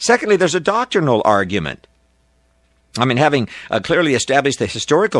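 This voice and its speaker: Very fast speech with very wide pitch swings, in a dry, close sound with no echo. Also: man. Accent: American. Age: 60s. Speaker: preacher. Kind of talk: sermon.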